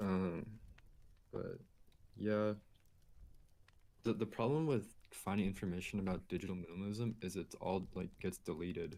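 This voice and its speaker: This man's voice is fairly low, with a dark, mellow tone. He leaves long, frequent pauses. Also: ordinary pitch variation, moderate pace. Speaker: YouTuber on digital minimalism. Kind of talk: casual chat. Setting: livestream conversation. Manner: low energy; chill.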